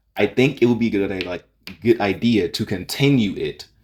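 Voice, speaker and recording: A man's voice, fairly low in pitch. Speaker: YouTuber reacting to fan opinions. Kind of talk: casual commentary video. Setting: home recording, raw unedited video. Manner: halting, many fillers and restarts.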